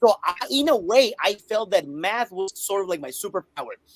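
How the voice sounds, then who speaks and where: A man speaks in a Spanish accent at a moderate pace. The sound is dry and close with no echo, and his intonation is lively. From Colombia. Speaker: math teacher and author. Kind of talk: interview.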